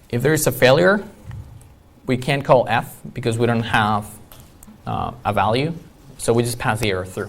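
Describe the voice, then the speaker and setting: A man's medium-pitched voice with ordinary pitch variation, a moderate pace, long and frequent pauses, and audible room echo. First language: not English. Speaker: iOS developer, conference speaker. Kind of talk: conference talk.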